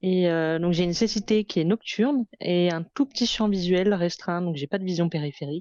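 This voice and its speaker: Hardly pausing, a woman speaks at a moderate pace and fairly low pitch with ordinary pitch variation. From France, Lyon. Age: 30s. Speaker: fashion entrepreneur. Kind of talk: interview testimony. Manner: hesitant, many fillers.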